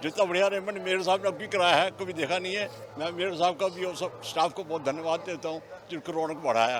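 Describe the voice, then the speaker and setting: A man speaks at a high pitch with ordinary pitch variation. His pace is moderate, with noticeable background noise. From Meerut. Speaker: fair visitor. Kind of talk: vox pop interview.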